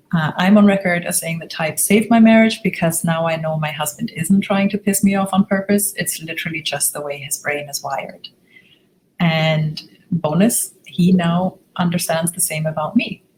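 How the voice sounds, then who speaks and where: A woman's fairly low, somewhat breathy voice with ordinary pitch variation and big swings in loudness. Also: moderate pace. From Germany. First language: German. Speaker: relationship coach. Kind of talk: webinar presentation. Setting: online webinar with screen share.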